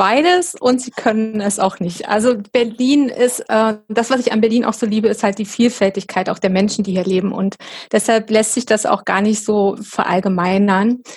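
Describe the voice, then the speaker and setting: This woman's somewhat breathy voice sits fairly high, moving at a moderate pace with ordinary pitch variation on a very clean recording with a silent background. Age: 40s. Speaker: professional organizing and decluttering coach. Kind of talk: interview.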